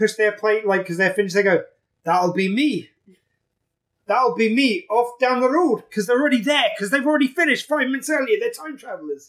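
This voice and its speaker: Speaking at a very fast pace with a British accent, a man uses an extremely high pitch. His tone is playful and his intonation lively. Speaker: podcast co-host. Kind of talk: casual banter. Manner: joking, swearing, playful.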